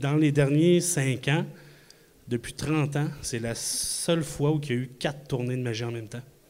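Amid noticeable background noise and audible room echo, a man speaks fairly slowly at a fairly high pitch with fairly even intonation. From Quebec City. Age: 40s. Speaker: magician. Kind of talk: live podcast talk before audience. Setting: stage with audience in a microbrewery.

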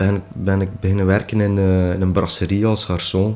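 A man's fairly low, unremarkable speaking voice at a moderate pace. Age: 40s. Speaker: drummer. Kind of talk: interview. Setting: at home.

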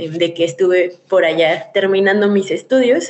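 This is a woman speaking. She has a Mexican accent. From Mexico. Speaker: former scholarship holder, association member. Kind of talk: radio interview. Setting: remote connection.

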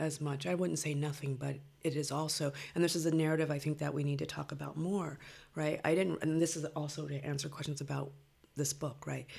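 With an American accent, a woman talks at a fairly quick pace in a very deep, low pitch, her tone dark and mellow and somewhat breathy. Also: fairly even intonation. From Los Angeles (Compton), California. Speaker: poet. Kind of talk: interview.

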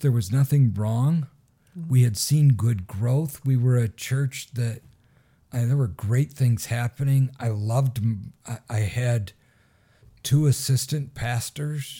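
A man with an American accent, medium in pitch with ordinary pitch variation, a dark, mellow tone and a somewhat breathy quality, at a very slow pace in a very clean recording with a silent background. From Michigan. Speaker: pastor. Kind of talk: casual interview.

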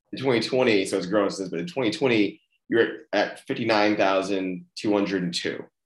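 A plain, everyday voice with an American accent at a fairly quick pace. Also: man, fairly low pitch for a man, ordinary pitch variation. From Austin, Texas. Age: 30s. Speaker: podcast host and CEO. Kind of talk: casual interview.

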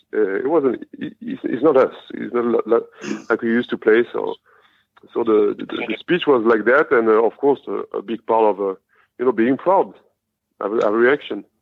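A man at a moderate pace with long, frequent pauses. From France. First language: French. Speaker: professional basketball player. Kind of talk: interview.

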